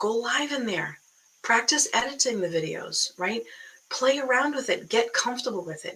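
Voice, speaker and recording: Lively intonation marks this voice with an American accent, heard over noticeable background noise. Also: woman, high pitch for a woman, moderate pace. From Boston area, US. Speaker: online business coach. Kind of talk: live stream talk. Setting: live video stream. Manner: animated, casual.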